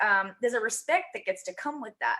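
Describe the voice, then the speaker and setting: A woman with a high-pitched voice talks at a fairly quick pace, her intonation lively. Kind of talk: casual chat. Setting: live stream. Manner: fast; direct, to the point.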